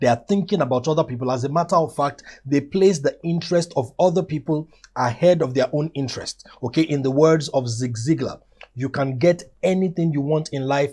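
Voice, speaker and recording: A man speaks with a fairly high pitch and ordinary pitch variation. His voice is somewhat breathy, with a dark, mellow tone. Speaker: motivational teacher. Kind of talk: motivational lecture. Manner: fast.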